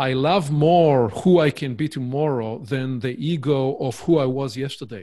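A man with an Israeli accent talks at a moderate pace with hardly any pauses. His fairly high pitch shows ordinary variation, in a very clean recording with a silent background. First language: Hebrew. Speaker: author and business consultant. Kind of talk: casual interview.

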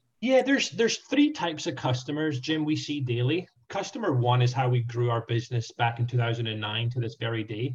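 With a Scottish accent, a man talks at a fairly quick pace with hardly any pauses. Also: medium pitch for a man, ordinary pitch variation. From Scotland. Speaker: franchise sales specialist. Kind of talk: interview.

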